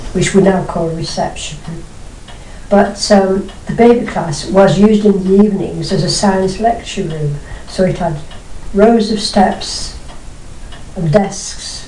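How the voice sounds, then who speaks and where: At a fairly slow pace with long, frequent pauses, the speech keeps a fairly even intonation over noticeable background noise. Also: woman, medium pitch for a woman. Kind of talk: interview answer.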